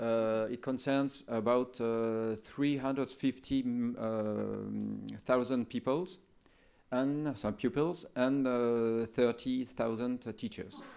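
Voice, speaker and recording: A man speaks in a French accent at a very slow pace, with a medium pitch and fairly even intonation. The recording is very clean, with a silent background. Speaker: education official. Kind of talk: conference talk. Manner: halting.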